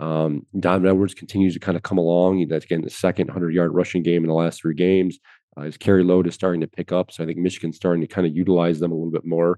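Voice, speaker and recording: A man's very fast, nearly pauseless delivery in a very deep, low pitch, flat and monotone throughout. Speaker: sports journalist podcast host. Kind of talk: casual sports analysis discussion.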